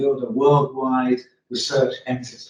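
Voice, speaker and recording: In an English accent, a man speaks at a moderate pace. His medium-pitched voice is somewhat breathy. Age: 70s. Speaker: retired research chemist, group member. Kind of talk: group meeting discussion.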